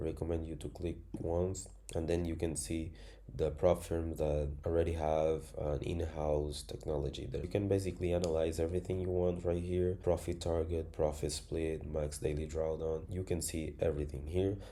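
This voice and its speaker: A man with a non-native accent speaks at a moderate pace in a very deep, low, somewhat breathy voice of dark, mellow tone, monotone and flat in intonation, with audible room echo. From Angola. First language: Spanish. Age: 20s. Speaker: trading educator. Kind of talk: tutorial.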